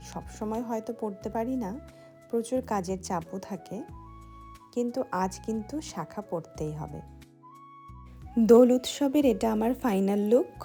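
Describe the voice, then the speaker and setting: With music in the background, a woman's voice shows big swings in loudness. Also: ordinary pitch variation. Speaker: teacher. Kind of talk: vlog voiceover.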